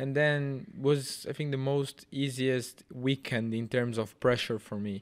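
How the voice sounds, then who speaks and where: With a Portuguese accent, a man talks at a fairly slow pace with hardly any pauses, using a medium pitch and ordinary pitch variation. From Brazil. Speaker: racing driver. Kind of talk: casual chat. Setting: studio.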